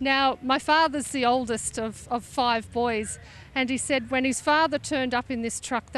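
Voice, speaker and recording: A woman speaks with an Australian accent and a high pitch. She talks at a moderate pace over a quiet background. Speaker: classic truck owner. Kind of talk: interview.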